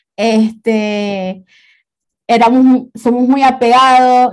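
At a very slow pace, a woman speaks with a fairly high pitch and fairly even intonation. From Venezuela. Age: 20s. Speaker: graphic designer. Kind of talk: personal testimony in casual interview.

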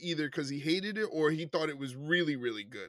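Here a man speaks with a New York accent. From New York City, Puerto Rican family. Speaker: wrestling podcast co-host. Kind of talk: casual chat.

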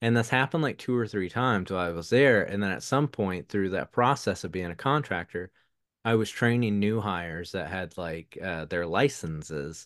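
A man's fairly low voice with a Southern US accent, lively intonation and a moderate pace, against a quiet background. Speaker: podcast guest, UX/UI designer and musician. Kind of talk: casual interview conversation. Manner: rambling, hesitant, filler-heavy.

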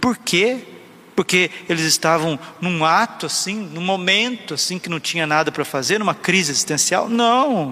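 A man with a high pitch speaks at a moderate pace and with lively intonation. Noticeable background noise can be heard. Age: 30s. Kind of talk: sermon.

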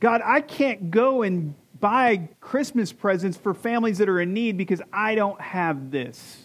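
A high-pitched man with an American accent, fairly slow in pace, lively in intonation, over a quiet background. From Michigan. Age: 40s. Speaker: pastor. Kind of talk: sermon. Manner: animated.

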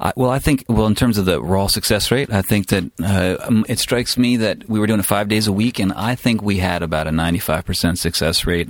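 A man with an unremarkable speaking voice, fairly low pitch, ordinary pitch variation, very even loudness, a moderate pace and hardly any pauses. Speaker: audio engineer and music producer. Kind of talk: casual chat.

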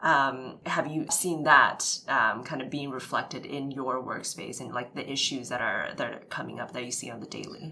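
A woman with a Canadian accent, a very deep, low pitch and fairly even intonation, over noticeable background noise. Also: moderate pace. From Vancouver, Canada. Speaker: podcast co-host. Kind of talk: casual interview.

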